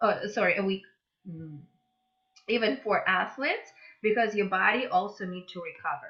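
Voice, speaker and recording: Someone speaks at a moderate pace with a Russian accent and ordinary pitch variation. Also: woman. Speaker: mobility instructor. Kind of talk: interview.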